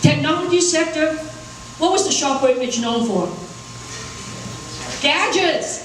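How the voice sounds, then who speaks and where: A woman speaks loudly in a high pitch with lively intonation, at a fairly slow pace with long, frequent pauses. Audible room echo and noticeable background noise accompany her. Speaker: corporate executive, panelist. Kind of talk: panel talk. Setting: conference stage with audience. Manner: animated.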